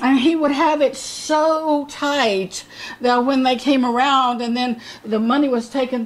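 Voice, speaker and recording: A woman's high-pitched voice at a fairly slow pace, with fairly even intonation. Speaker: bible teacher. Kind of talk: sermon. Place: home room. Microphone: camera far.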